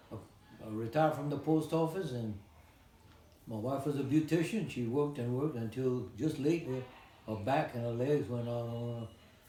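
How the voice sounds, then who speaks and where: Speaking at a fairly quick pace with long, frequent pauses, a man uses a medium pitch and ordinary pitch variation amid audible room echo. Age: 90s. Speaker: retired postal worker and Navy veteran. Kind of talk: interview.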